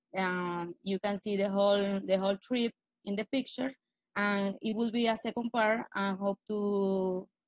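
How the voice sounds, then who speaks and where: Here a woman talks at a fairly slow pace with fairly even intonation. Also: medium pitch for a woman, dry, close sound with no echo. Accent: Spanish. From Venezuela. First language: Spanish. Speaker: blogger presenting a post. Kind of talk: casual presentation. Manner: halting.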